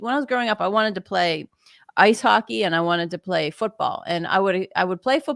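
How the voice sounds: Natural in tone, the voice reads the passage.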